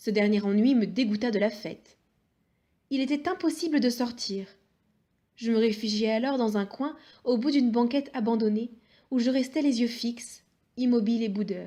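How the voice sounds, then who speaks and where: A woman's fairly high voice, dark and mellow in tone, at a moderate pace with long, frequent pauses and ordinary pitch variation, on a very clean recording with a silent background. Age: young. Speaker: audiobook reader. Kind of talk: reading aloud.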